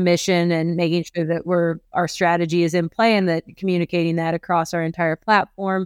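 A woman with an American accent talks at a fairly quick pace with a fairly low pitch and monotone, flat intonation. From US Midwest, rural eastern Iowa. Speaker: real estate appraiser. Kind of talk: interview.

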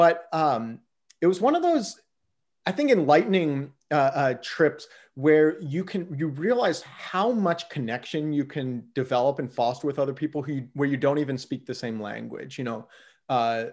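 On a very clean recording with a silent background, a man with an American accent speaks at a moderate pace, fairly high in pitch and with lively intonation. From US Midwest, southwest Ohio. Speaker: flight deals company founder. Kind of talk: casual interview.

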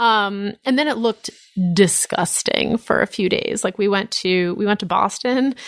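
Ordinary pitch variation marks a normal speaking voice delivered at a moderate pace. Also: woman, medium pitch for a woman. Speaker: author and journalist. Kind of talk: casual chat. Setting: studio.

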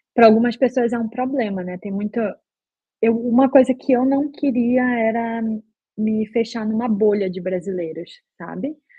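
A woman talks in a normal speaking voice at a fairly high pitch and a moderate pace. Her pitch variation is ordinary, while her loudness swings widely. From Brazil, Belém do Pará. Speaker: software QA engineer. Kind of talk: casual interview.

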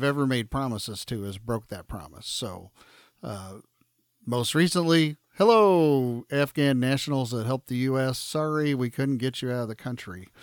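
This man has an unremarkable speaking voice at a medium pitch. He talks at a moderate pace with ordinary pitch variation. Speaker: podcast host. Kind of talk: casual chat. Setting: video call.

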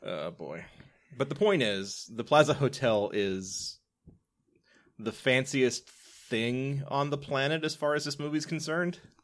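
A man's unremarkable speaking voice with an American accent, fairly high in pitch, with lively intonation at a fairly slow pace, on a very clean recording with a silent background. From US South. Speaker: podcast host. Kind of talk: casual chat.

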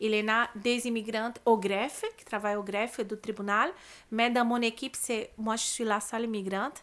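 In a very clean recording with a silent background, someone with a Brazilian accent talks at a moderate pace in a monotone, flat intonation. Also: woman, fairly high pitch for a woman. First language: Portuguese (speaking French). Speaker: immigrant lawyer and labour conciliator. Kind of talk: podcast interview. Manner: halting, many repetitions and fillers.

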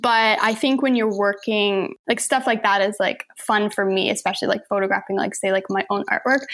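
A woman with an ordinary speaking voice talks at a fairly quick pace with fairly high pitch, ordinary pitch variation, very even loudness and hardly any pauses. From Saint John, New Brunswick, Canada. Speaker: photographer and artist. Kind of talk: casual chat.

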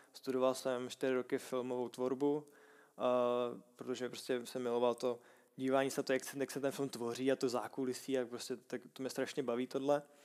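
Monotone, flat intonation at a moderate pace, in a Czech accent. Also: man, medium pitch for a man. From Czech Republic, Prague. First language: Czech (speaking Slovak). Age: 20s. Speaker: Thai boxing fighter. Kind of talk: casual interview.

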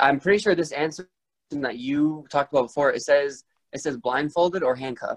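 In a plain, everyday voice, this man's fairly high pitch rises and falls in an ordinary way while he keeps a moderate tempo. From Rhode Island, US. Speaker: podcast host. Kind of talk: casual chat.

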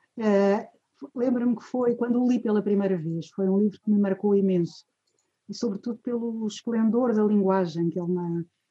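A woman with a medium pitch speaks at a moderate pace in a dark, mellow tone. Her voice is somewhat breathy, with ordinary pitch variation. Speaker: retired professor, course organizer. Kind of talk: formal introduction. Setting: video call.

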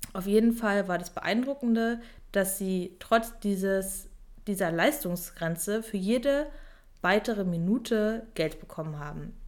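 Pitched in the medium range, a woman speaks at a fairly slow pace with ordinary pitch variation. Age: 20s. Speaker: online fitness and mindset coach. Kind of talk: solo podcast monologue. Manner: energetic, motivational.

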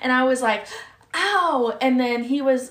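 A woman's high-pitched voice comes with audible room echo and noticeable background noise. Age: 20s. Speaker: podcast host. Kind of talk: casual chat.

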